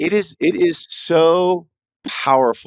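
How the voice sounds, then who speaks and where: A man speaks with ordinary pitch variation in a very clean recording with a silent background and a dry, close sound without echo. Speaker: trial lawyer. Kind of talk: casual chat. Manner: fast.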